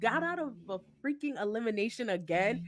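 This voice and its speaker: A woman with an American accent, animated in tone, with lively intonation at a moderate pace. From New Jersey. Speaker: podcast co-host. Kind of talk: casual chat.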